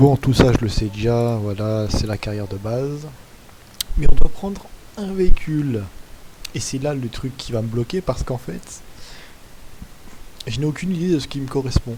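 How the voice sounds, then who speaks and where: Speaking at a medium pitch with lively intonation, a man leaves long, frequent pauses, his loudness swinging widely over noticeable background noise. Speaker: gaming youtuber. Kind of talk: gameplay commentary. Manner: slow.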